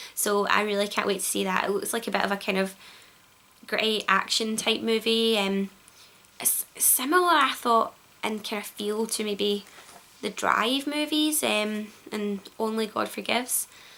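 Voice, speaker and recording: Spoken at a moderate pace with ordinary pitch variation, the voice has a Glaswegian accent. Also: woman, fairly high pitch for a woman. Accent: Glaswegian Scottish. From Glasgow, Scotland. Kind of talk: casual vlog to camera. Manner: hesitant, many fillers.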